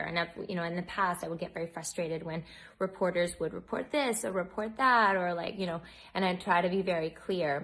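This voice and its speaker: An unremarkable speaking voice with an American accent moves at a fairly quick pace over a quiet background. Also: woman. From United States. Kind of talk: casual talk to camera.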